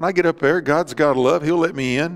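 Here a man speaks with a Southern US accent. His pitch varies in an ordinary way. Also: quiet background. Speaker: Baptist pastor. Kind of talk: church sermon. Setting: church service with live congregation. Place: church.

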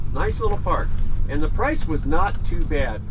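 Loud background noise fills the recording. The speaker talks at a fairly slow pace. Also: man. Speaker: vlogger. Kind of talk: casual vlog chat. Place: car. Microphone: camera far.

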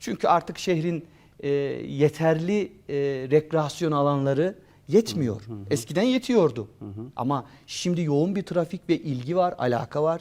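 A man talks in a normal speaking voice, fairly high in pitch, with lively intonation and a fairly slow pace. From Turkey, Beyşehir (Konya province). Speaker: history professor. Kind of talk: interview.

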